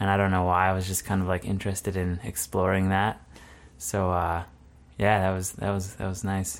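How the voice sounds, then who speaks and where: A man's very deep, low voice with a Manitoban accent, at a moderate pace and in a monotone, flat intonation, in a very clean recording with a silent background. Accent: Canadian (Manitoba). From southern Manitoba, Canada. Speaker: graphic designer. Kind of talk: casual interview. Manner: halting, many fillers and restarts.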